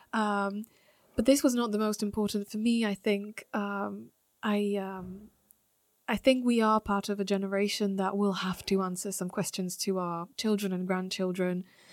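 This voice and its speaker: Very clean with a silent background, the recording carries a Slovak accent at a moderate pace with fairly even intonation. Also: woman, medium pitch for a woman. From Slovakia. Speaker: journalist. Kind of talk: interview. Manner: halting.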